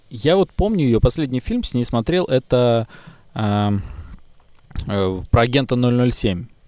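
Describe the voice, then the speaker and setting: Lively intonation colors this man's dark, mellow tone. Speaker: podcast co-host. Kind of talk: casual chat.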